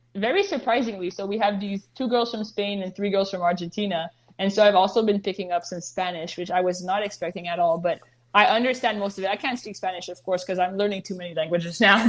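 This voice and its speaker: Speaking very fast in a Montreal accent, a woman keeps a medium pitch and fairly even intonation. Her volume rises and falls sharply. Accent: Canadian English, Montreal. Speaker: professional soccer goalkeeper. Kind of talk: interview.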